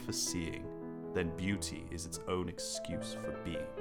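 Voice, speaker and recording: A man's fairly slow speech over music in the background. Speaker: filmmaker. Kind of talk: poetry reading.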